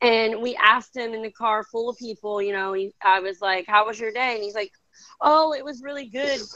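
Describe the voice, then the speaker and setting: A woman's fairly high, bright, sharp voice with a slight Midwestern accent and big swings in loudness. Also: ordinary pitch variation, fairly quick pace. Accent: Midwestern, mild. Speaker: video chat host. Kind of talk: casual chat.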